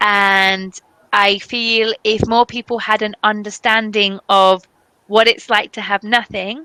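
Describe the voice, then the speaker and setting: A woman with a British accent speaks at a very slow pace in a fairly high voice with a bright, sharp tone. Her intonation is monotone and flat, and the sound is dry and close with no echo. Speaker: English teacher. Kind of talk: casual online conversation.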